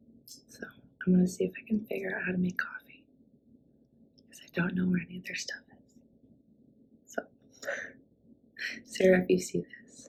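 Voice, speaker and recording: Quietly, a woman speaks at a moderate pace with long, frequent pauses. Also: big swings in loudness. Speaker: travel vlogger. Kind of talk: casual vlog talk to camera. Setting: indoors at friend's home.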